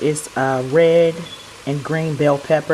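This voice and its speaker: Through noticeable background noise, a woman talks at a fairly slow pace. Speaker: cooking channel host. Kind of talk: cooking tutorial. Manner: casual.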